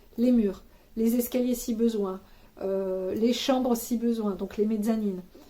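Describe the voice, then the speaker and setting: A woman talks at a fairly slow pace in a fairly high pitch. Her intonation stays monotone and flat. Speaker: YouTuber giving housing advice. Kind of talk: advice vlog to camera. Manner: relaxed, looser than usual, many hesitations.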